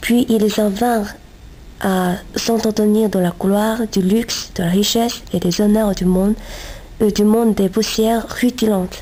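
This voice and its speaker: Speech in a Chinese accent moves at a fairly slow pace with monotone, flat intonation and very even loudness. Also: woman, fairly high pitch for a woman. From China. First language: Chinese (speaking French). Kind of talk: reading aloud. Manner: halting, self-correcting.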